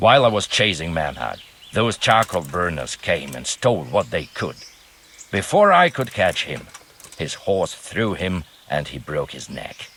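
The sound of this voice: A man puts on a character voice that sits low, with a slightly husky edge, a fairly bright tone, big swings in pitch and a fairly slow pace.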